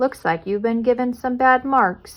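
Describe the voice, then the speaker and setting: A woman performs a put-on character voice. Her pitch sits high. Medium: read story. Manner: warm, gentle.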